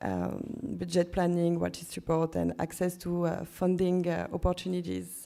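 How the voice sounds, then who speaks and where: A woman with a French accent at a moderate pace in a very clean recording with a silent background. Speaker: curator. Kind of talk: conference presentation. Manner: halting.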